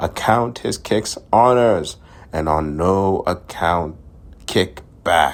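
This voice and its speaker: A man puts on a gruff character voice with a very deep, low pitch. He talks at a very slow pace. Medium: solo performance. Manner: gruff, muttering, lecturing.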